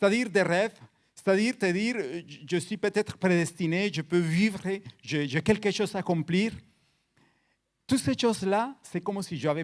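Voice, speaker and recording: A very clean recording against a silent background, moderate in pace, intonation lively. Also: man. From Colombia, Cali. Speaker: guest preacher. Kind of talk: sermon. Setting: church. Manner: halting, repeats words.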